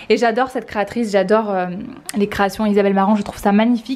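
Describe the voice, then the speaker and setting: A woman talks at a very fast pace. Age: 20s. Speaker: vlogger. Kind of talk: talking to her child; casual vlog. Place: home room. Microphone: phone near.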